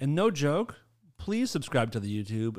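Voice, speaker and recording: Animated in tone, a man with a fairly high pitch speaks at a moderate pace. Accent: American. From Massachusetts. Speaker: podcast host and sound engineer. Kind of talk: casual chat. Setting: studio.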